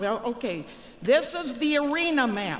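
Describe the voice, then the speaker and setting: Very slow speech over crowd noise in the background. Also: woman. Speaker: comic skit performer. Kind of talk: comedic stage skit dialogue. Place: hall. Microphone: handheld.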